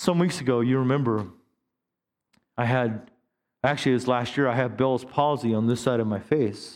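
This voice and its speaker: At a moderate pace, a man with a medium-pitched voice and an animated tone speaks with long, frequent pauses and very even loudness. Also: ordinary pitch variation. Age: 50s. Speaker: pastor. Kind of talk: sermon. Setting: church with live congregation.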